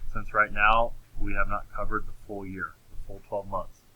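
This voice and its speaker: A man talking at a fairly slow pace. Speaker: accounting teacher. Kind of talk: recorded lecture. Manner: halting, with many fillers.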